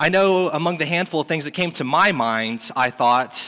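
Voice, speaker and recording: In a very clean recording with a silent background, a man with a bright, sharp tone sounds animated, his intonation lively. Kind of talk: sermon. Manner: warm and earnest, shifting to a solemn, prayerful tone at the close.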